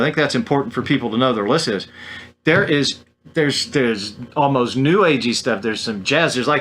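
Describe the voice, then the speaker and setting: Very fast in pace, a man speaks with a fairly high pitch and a bright, sharp tone. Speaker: podcast host. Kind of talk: interview.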